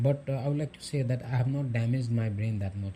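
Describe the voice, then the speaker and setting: The man's tone is dark and mellow, and somewhat breathy. He talks at a fairly quick pace. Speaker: self-help YouTuber giving advice to men. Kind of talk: motivational monologue.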